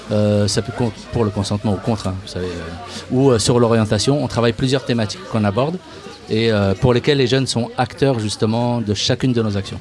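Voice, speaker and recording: Fairly quick speech from a man, with noticeable background noise. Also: medium pitch for a man, ordinary pitch variation. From Paris suburbs (Seine-Saint-Denis). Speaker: youth media association worker. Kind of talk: radio interview. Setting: outdoor live radio broadcast at a bar, in the rain. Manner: casual, hesitant with many fillers.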